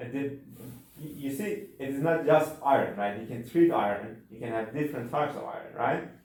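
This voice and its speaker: A man with a non-native accent and fairly high pitch for a man, at a fairly quick pace with ordinary pitch variation and big swings in loudness, amid audible room echo and noticeable background noise. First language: not English. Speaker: university instructor. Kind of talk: lecture. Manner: halting.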